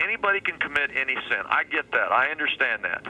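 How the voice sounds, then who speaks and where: There's noticeable noise in the background. Over it, a man talks at a moderate speed. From Kansas, Wichita. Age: 50s. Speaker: pastor. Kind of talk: radio interview. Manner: animated.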